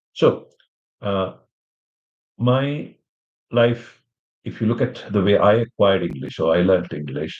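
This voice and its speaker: Lively intonation marks this man's fairly low-pitched voice. Vocal fry runs through his speech. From India. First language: an Indian language (English is his fifth). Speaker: English teacher. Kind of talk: live-stream lesson introduction. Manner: halting, many fillers.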